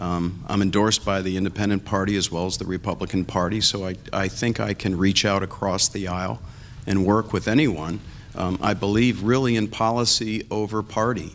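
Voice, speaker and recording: In an ordinary speaking voice, a man talks at a fairly quick pace with fairly low pitch and fairly even intonation. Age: 60s. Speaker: political candidate. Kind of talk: candidate debate.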